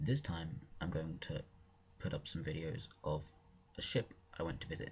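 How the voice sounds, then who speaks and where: A man's somewhat breathy voice. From southern England, near London. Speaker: vlogger. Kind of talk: casual vlog intro.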